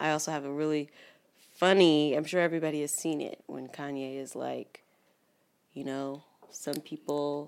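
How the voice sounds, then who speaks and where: A woman with a very deep, low pitch speaks in a monotone, flat way at a moderate pace, leaving long, frequent pauses. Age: 30s. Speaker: podcast co-host. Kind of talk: casual chat.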